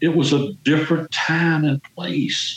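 At a very slow pace, a man talks with a Southern US accent. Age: 70s. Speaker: exonerated former prisoner. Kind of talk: interview. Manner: talkative.

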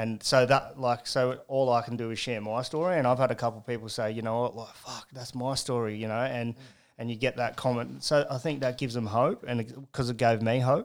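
A man with an Australian accent speaks at a medium pitch and a fairly quick pace, with hardly any pauses. His intonation is fairly even while his loudness swings widely, in a very clean recording with a silent background. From Newcastle, New South Wales, Australia. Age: 30s. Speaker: recovering addict sharing his story. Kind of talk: testimony. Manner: casual, swears a lot.

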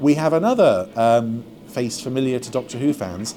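A fairly slow-paced man amid noticeable background noise. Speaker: podcast co-host. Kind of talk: casual chat, podcast segment.

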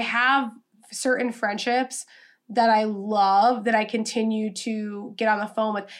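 Speaking in an American accent, a woman talks at a fairly slow pace with a fairly high pitch and monotone, flat intonation. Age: 20s. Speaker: podcast host, social media coach. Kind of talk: solo podcast monologue. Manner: casual, filler-heavy (um, like).

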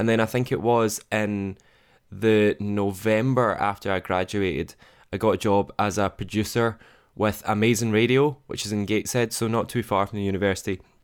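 Speaking at a moderate pace in a Scottish accent, a man uses a fairly low pitch and fairly even intonation on a very clean recording with a silent background. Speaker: radio producer. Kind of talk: interview. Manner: casual, self-deprecating.

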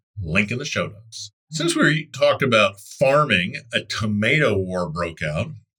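This man talks at a fairly low pitch with a bright, sharp tone and very wide pitch swings. His pace is fairly slow, with hardly any pauses. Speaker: news podcast presenter. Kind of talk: formal newsreading, scripted news bulletin. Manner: formal, brisk; even, neutral, steady delivery.

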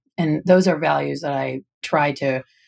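Recorded very cleanly against a silent background, a woman with an American accent speaks at a fairly slow pace, with a very deep, low pitch and vocal fry. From US Midwest, southwestern Michigan. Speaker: rancher, lawyer and author. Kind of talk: interview. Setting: studio.

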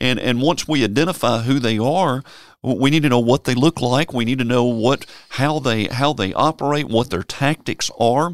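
In a Tennessee accent, a man speaks at a moderate pace. His pitch is medium. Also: very clean recording, silent background. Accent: Southern US (Tennessee). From Memphis, Tennessee. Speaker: preacher. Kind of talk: casual Bible discussion. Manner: halting, repeats words.

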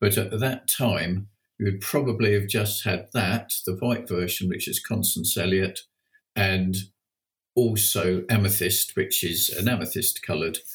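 Somewhat breathy and fairly low in pitch, a man speaks at a fairly slow pace with fairly even intonation. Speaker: passion flower grower and breeder. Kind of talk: casual interview.

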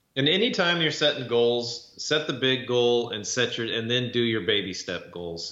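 The speaker talks at a fairly slow pace with lively intonation. Noticeable background noise and audible room echo are present. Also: man. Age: 40s. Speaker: podcast co-host, former construction business owner. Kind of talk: casual chat.

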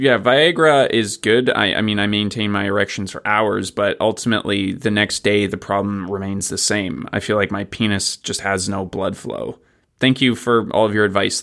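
A man with an unremarkable speaking voice talks at a moderate pace and fairly low pitch, with ordinary pitch variation and hardly any pauses. The recording is very clean, the background silent. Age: 30s. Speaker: listener submitting a question. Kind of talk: read-out listener question.

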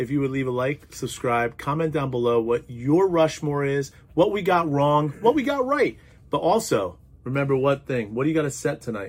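The speech has ordinary pitch variation. Its pace is moderate. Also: man, fairly high pitch for a man. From New Jersey. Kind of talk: casual chat. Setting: studio.

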